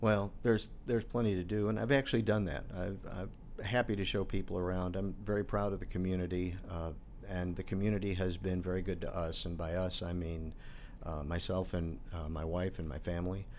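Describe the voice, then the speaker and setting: A man with an American accent and a very deep, low pitch speaks at a fairly quick pace with fairly even intonation amid audible room echo. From Chicago, North Side. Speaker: airport board chairman, former radio journalist. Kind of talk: casual interview.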